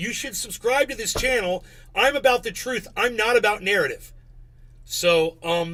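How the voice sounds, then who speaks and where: A man's extremely high, raised and projected voice, animated in tone, bright and sharp, with lively intonation. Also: moderate pace. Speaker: live streamer. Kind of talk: live stream commentary. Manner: loud. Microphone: distorting from yelling.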